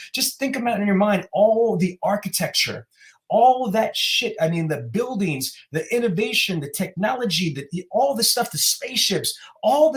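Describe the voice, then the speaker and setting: Lively intonation and an animated tone at a moderate pace, with an American accent. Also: man. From New York City (Queens and Brooklyn). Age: 40s. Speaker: motivational speaker. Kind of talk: podcast interview. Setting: podcast recording.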